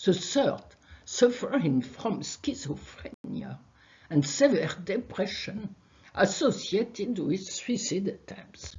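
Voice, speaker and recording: With a French accent, a woman speaks very slowly at a medium pitch, her voice swinging very widely up and down. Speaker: research scientist. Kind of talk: conference talk. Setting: video call.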